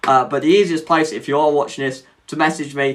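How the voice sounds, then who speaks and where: In an English accent, a man speaks with a fairly high pitch and a bright, sharp tone. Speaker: mental health advocate, live streamer. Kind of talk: live stream casual chat. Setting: live stream, home setup. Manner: hesitant, many fillers.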